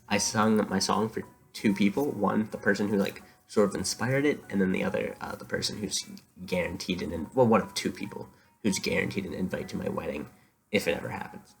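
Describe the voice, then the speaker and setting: Soft-spoken and fairly quick, a man talks with music in the background. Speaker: vlogger. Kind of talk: casual monologue to camera. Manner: halting, many fillers.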